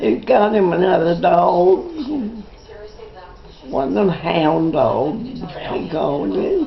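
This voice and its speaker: With music in the background, a woman speaks at a very slow pace with long, frequent pauses. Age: 80s+. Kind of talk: casual conversation.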